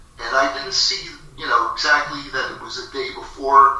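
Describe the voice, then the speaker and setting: There is audible room echo and noticeable background noise as a man talks at a fairly slow pace. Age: 60s. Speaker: internet radio host. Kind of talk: casual monologue storytelling. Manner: halting, many fillers and repeats.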